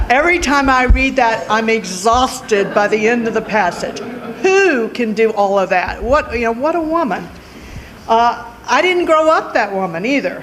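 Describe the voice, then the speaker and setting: A woman with a Louisiana accent swings her pitch very widely, heard with audible room echo and noticeable background noise. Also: fairly high pitch for a woman, moderate pace. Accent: southern US (Louisiana). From Louisiana, Lake Charles. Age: 60s. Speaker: lawyer, judicial candidate. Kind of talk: award acceptance speech. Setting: public event at a library.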